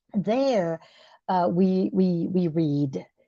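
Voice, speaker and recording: A woman speaks in a dark, mellow tone against a quiet background. The sound is dry and close with no echo. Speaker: discussion group leader. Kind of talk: spiritual book discussion. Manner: halting, repetitive.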